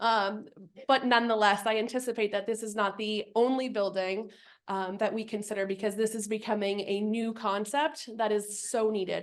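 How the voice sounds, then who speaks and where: Fairly even intonation at a moderate pace. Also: woman. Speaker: community action program leader. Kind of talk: speech at annual meeting. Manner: loud.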